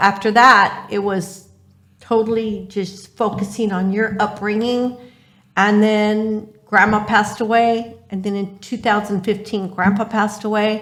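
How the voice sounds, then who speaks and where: Someone with an American accent talks at a fairly slow pace in a monotone, flat intonation. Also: woman, fairly high pitch for a woman. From Orange County, California. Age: 60s. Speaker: cleaning business owner, single parent. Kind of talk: interview answer.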